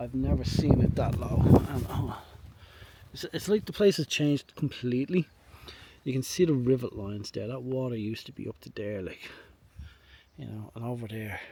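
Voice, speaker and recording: With a Dublin accent, a man of medium pitch talks at a moderate pace, with lively intonation, big swings in loudness and long, frequent pauses. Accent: Dublin Irish. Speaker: photography vlogger. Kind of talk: casual vlog narration outdoors. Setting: outdoors, walking trail by reservoir.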